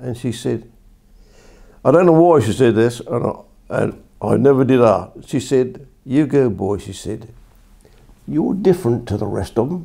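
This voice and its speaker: Speaking at a moderate pace, a man has a medium pitch, lively intonation and a dark, mellow tone with vocal fry. He leaves long, frequent pauses. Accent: Essex. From Colchester, England. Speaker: former soldier. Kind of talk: oral history interview answer.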